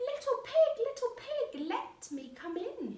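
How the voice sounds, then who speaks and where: A put-on character voice, extremely high in pitch, growling and gruff, at a fairly slow pace. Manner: growling, menacing.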